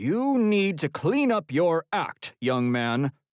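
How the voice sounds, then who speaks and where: A man puts on a character voice with a stern tone and a fairly high pitch. He goes very slowly, with very wide pitch swings. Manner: stern, scolding.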